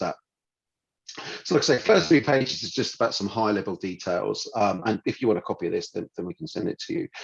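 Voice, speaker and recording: Delivered at a very fast pace in a British accent, the voice sounds dry and close with no echo. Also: man. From United Kingdom. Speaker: financial adviser. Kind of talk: business presentation. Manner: hesitant, many fillers.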